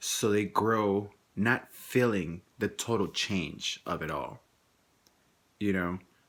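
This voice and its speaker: A man with a Spanish accent speaks at a fairly low pitch with ordinary pitch variation. The recording is very clean, with a silent background. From Mexico. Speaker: vlogger. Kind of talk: personal vlog monologue. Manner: halting, many repetitions and restarts.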